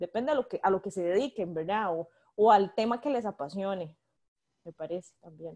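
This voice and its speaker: A woman of medium pitch with a dark, mellow tone, lively intonation and big swings in loudness, at a moderate pace in a dry, close sound with no echo. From Costa Rica, Limón province (Guápiles). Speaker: political adviser. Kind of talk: interview conversation.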